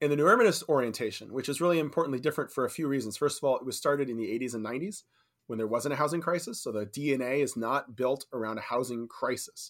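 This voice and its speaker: A man with a Californian accent talks very fast at a fairly high pitch, his pitch moving in an ordinary way, on a very clean recording with a silent background. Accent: Californian American. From California, San Francisco Bay Area. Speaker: real estate developer. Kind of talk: casual interview chat.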